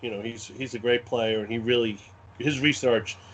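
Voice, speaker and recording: This speaker has a Brooklyn accent. The delivery moves at a fairly quick pace. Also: man. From US Northeast, Brooklyn, New York. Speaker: wargame scenario designer. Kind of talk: podcast interview.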